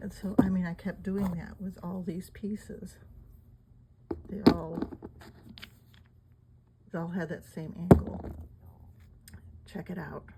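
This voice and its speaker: Mumbling in a monotone, flat intonation, a woman leaves long, frequent pauses, her loudness swinging widely over noticeable background noise. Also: medium pitch for a woman, fairly slow pace. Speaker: amateur artifact collector. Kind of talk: casual talk to camera. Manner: mumbling, hesitant.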